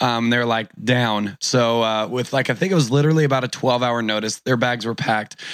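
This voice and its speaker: A man with an American accent speaks in a plain, everyday voice at medium pitch. His pace is fairly quick with hardly any pauses, and his intonation stays fairly even. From Orange County, California. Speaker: entrepreneur and conference organizer. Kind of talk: casual interview chat.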